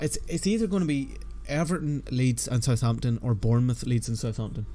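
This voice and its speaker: There is music in the background. A man speaks at a fairly quick pace. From Northern Ireland. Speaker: football fantasy streamer. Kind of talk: live stream chat. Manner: casual, conversational.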